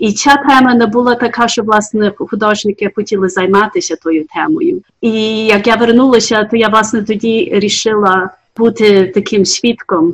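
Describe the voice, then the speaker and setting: A woman's fairly high voice sounds somewhat breathy. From US, Ukrainian diaspora family. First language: English (dominant), Ukrainian heritage (speaking Ukrainian). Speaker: artist. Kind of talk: interview. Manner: halting.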